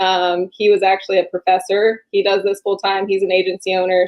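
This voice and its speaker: The speech comes fairly quickly. It is a woman talking. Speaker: insurance agent and agency director. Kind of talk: podcast interview. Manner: monotone; calm, laid-back.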